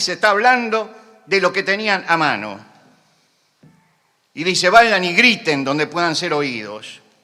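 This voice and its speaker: Speaking at a fairly slow pace with long, frequent pauses, a man with a high voice makes very wide pitch swings. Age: 70s. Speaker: preacher. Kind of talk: sermon. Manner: impassioned.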